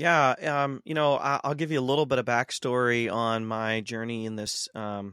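A man with an American accent speaks at a medium pitch and a moderate pace, with a bright, sharp tone and hardly any pauses. The recording is very clean, with a silent background and a dry, close sound with no echo. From US Midwest (Ohio). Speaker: seminary professor and author. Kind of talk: interview conversation.

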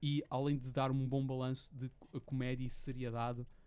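This man has a dark, mellow tone at a medium pitch, talking at a moderate pace with flat, monotone intonation. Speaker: podcast host. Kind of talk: casual chat.

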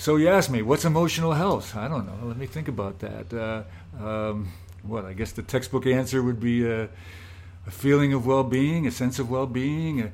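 Here a man has a normal speaking voice at a medium pitch. He moves at a moderate pace with lively intonation. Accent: American. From Scranton, Pennsylvania. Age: 60s. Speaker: solar hot water business owner. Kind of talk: casual interview conversation.

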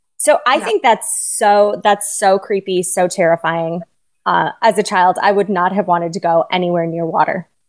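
Against a quiet background, a woman with an unremarkable speaking voice talks at medium pitch and a moderate pace with ordinary pitch variation. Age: 40s. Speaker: podcast co-host. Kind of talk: casual chat.

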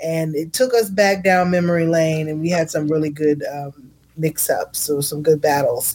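A woman with a plain, everyday voice talks at a moderate pace with hardly any pauses, a fairly low pitch and ordinary pitch variation. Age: 40s. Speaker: podcast host. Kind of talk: casual chat.

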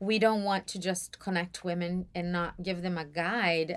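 Woman with a Portuguese accent and a fairly low pitch. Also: very clean recording, silent background. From Brazil, São Paulo. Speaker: church mentoring program leader. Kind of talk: casual interview.

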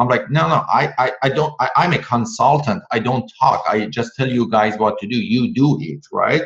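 With vocal fry and a non-native accent, this speaker moves at a moderate pace with lively intonation and hardly any pauses. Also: man, medium pitch for a man. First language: not English. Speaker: author and public speaking coach. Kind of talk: casual interview. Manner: enthusiastic.

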